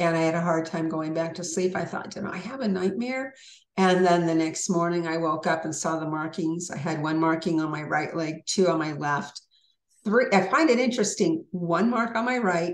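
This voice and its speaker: With a plain, everyday voice, a woman talks at a moderate pace, her pitch fairly low and her pitch variation ordinary. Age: 60s. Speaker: author and abduction experiencer. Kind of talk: interview.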